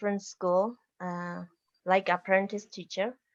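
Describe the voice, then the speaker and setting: The speaker has a Bolivian accent and a fairly slow pace. The background is quiet. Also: woman. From Bolivian Altiplano near Lake Titicaca. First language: Aymara. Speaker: university professor and educator. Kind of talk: slide presentation. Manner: halting.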